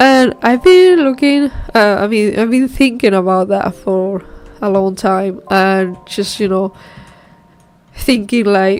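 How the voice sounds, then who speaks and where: At a very slow pace, a woman with a medium-pitched voice speaks in a non-native accent. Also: ordinary pitch variation. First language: not English. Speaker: solo indie game developer, streamer. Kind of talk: casual live stream chat while working. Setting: live stream. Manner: hesitant, many fillers and restarts.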